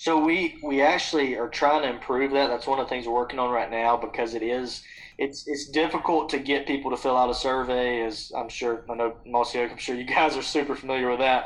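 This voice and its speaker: Man with an Alabama accent, medium pitch, fairly quick pace, hardly any pauses and fairly even intonation. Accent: Southern US (Alabama). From Alabama, US South. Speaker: founder of a hunting trip-swap company. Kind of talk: podcast interview. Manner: casual, with frequent fillers and repetitions.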